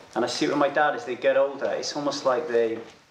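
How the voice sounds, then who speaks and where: A man's fairly quick speech comes through over noticeable background noise. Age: 40s. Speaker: podcast host. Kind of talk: interview.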